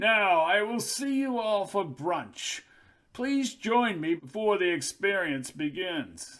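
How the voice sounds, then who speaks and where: Putting on a character voice, a man talks at a fairly slow pace in a high register with very wide pitch swings. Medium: read story. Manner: formal, measured.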